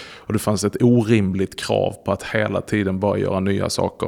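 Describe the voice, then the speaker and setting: With vocal fry and a fairly low pitch, a man talks at a moderate pace and ordinary pitch variation. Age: 40s. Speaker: pastor. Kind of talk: interview.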